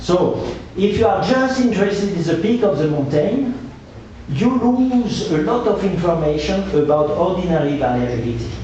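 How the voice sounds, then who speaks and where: A man with a French accent speaks at a moderate pace in a high pitch with very wide pitch swings and very even loudness. Noticeable background noise and audible room echo surround him. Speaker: hydrologist, researcher. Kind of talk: Q&A answer after lecture.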